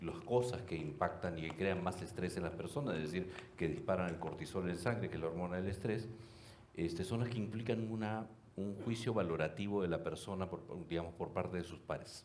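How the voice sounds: At a fairly quick pace, a man speaks in a low pitch with a slightly mellow tone and ordinary pitch variation.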